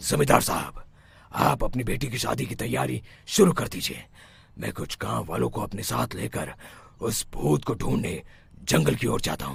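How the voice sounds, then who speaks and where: Using a cartoonish character voice, a man speaks at a moderate pace in a very deep, low pitch with very wide pitch swings. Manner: authoritative.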